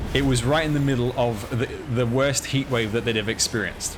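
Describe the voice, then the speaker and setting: A man with a medium pitch speaks at a moderate pace. Noticeable background noise can be heard. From Australia (Sydney). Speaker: video game streamer. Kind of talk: casual live stream chat while gaming.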